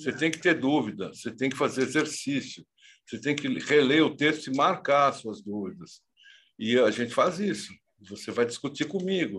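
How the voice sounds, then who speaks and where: A man's fairly high-pitched, plain, everyday voice with lively intonation. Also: moderate pace. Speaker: professor and author. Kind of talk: interview.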